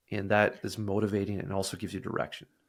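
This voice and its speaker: Over a silent background in a very clean recording, a man speaks with a slight Canadian accent. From Canada. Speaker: sales software representative. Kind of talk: casual interview.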